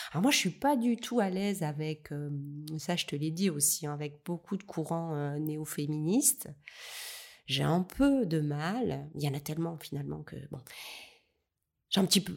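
In a very clean recording with a silent background, a woman with a very deep, low pitch talks fairly slowly with ordinary pitch variation and long, frequent pauses. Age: 50s. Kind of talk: interview. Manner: halting.

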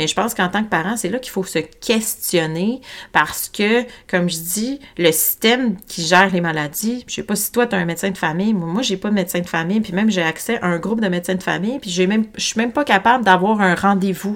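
Her pitch medium and its variation ordinary, a woman speaks at a fairly quick pace. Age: 40s. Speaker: holistic health coach and podcast host. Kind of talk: solo podcast monologue. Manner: spontaneous, casual with fillers; animated, gesticulating.

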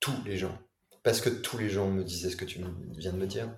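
A somewhat breathy man's voice at fairly low pitch, with audible room echo. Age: 40s. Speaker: tech entrepreneur and author. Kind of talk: interview. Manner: animated.

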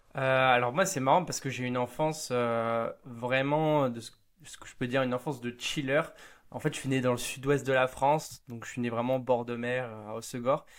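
A man with a normal speaking voice at medium pitch, fairly even intonation and a moderate pace, in a very clean recording with a silent background. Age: 20s. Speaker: startup studio co-founder. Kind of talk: interview.

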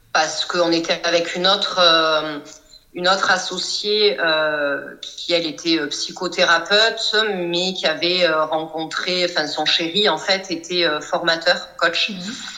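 A woman speaks at a very slow pace with a fairly low pitch and fairly even intonation. Noticeable background noise and audible room echo come through. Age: 40s. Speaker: psychoanalyst and coach. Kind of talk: casual interview.

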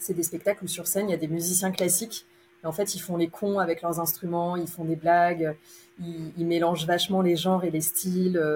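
In a monotone, flat intonation, a woman fairly low in pitch talks at a moderate pace. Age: 30s. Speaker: opera stage manager. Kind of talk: interview.

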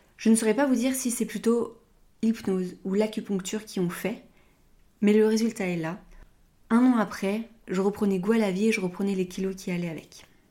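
Speaking at a moderate pace with long, frequent pauses, a woman has a fairly high pitch, a dark, mellow tone and fairly even intonation. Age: 30s. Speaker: podcast host, naturopath. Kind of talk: personal testimony monologue.

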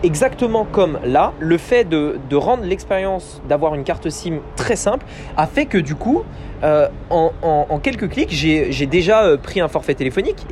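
Against noticeable background noise, a man with a high pitch talks at a fairly slow pace with lively intonation. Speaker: podcast host, online business coach. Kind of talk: solo business podcast monologue. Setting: outdoors on a balcony.

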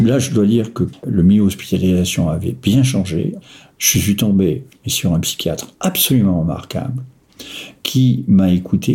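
A man with a dark, mellow tone speaks at a fairly low pitch with lively intonation and a somewhat breathy voice. His pace is fairly slow, broken by long, frequent pauses. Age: 60s. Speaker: retiree living with bipolar disorder. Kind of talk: personal testimony. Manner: halting, with frequent hesitations.

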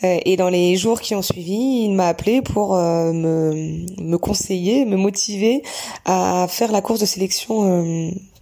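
Over noticeable background noise, a woman speaks at a very slow pace and medium pitch, with ordinary pitch variation and very even loudness. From Normandy, France (Bayeux). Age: 30s. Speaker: gynecologist and trail runner. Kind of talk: interview. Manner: halting.

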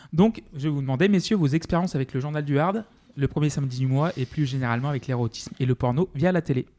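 Talking at a very fast pace, a man with fairly high pitch and a dark, mellow tone shows ordinary pitch variation in a dry, close sound with no echo. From France, outside Paris. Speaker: podcast co-host. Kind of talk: casual chat.

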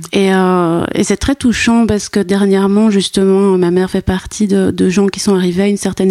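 A woman's medium-pitched, monotone, flat delivery at a moderate pace, in a dry, close sound with no echo. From Brussels, Belgium. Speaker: anthropologist and art historian. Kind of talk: interview. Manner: halting.

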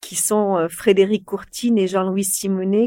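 On a very clean recording with a silent background, a woman of medium pitch and dark, mellow tone speaks at a very slow pace. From France, Corrèze (Brive). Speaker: media company CEO. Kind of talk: interview.

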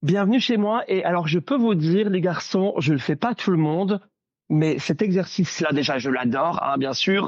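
Here a man speaks with a high pitch and lively intonation. His pace is moderate and his loudness very even. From Belgium. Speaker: Disney fan and social media creator. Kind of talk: casual chat. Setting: video call from home. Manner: animated.

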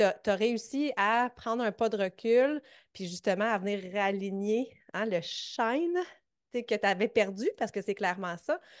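Over a quiet background, a woman with a Quebec accent talks at a fairly slow pace, her fairly high pitch showing ordinary pitch variation. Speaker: fitness coach and podcast host. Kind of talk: interview.

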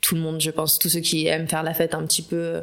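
Against noticeable background noise, a woman talks at a very fast pace in a fairly low pitch. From Paris. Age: 20s. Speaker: communications professional. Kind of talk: casual chat.

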